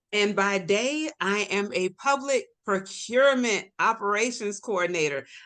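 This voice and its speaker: A bright, sharp tone with lively intonation and a Southern accent, at a very slow pace over a quiet background. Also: woman. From Florida, Tampa. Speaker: health advocate. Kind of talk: casual chat.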